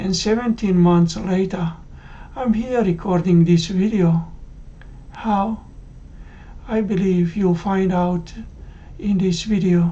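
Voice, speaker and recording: The delivery comes at a very slow pace with long, frequent pauses. Intonation stays fairly even. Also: woman, medium pitch for a woman. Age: 60s. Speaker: cardiac arrest survivor. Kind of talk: testimony.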